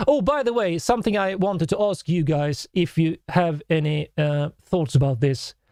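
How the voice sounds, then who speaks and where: With lively intonation, a man speaks in a high voice with a dark, mellow tone, and the sound is dry and close with no echo. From Sweden. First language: Swedish. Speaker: musician and composer reacting to music. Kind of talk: live stream reaction, reading chat comments. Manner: animated.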